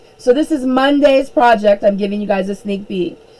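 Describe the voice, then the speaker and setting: Over noticeable background noise, a woman with a fairly high pitch talks at a moderate pace. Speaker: elementary school art teacher. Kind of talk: live-streamed art class for children. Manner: frequent fillers (um); enthusiastic, upbeat.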